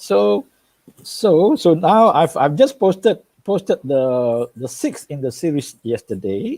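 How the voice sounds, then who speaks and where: A man's fairly high pitch with a dark, mellow tone and very wide pitch swings, in a dry, close sound with no echo. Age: 60s. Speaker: medical doctor and spiritual speaker. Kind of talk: interview. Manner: halting, many repetitions.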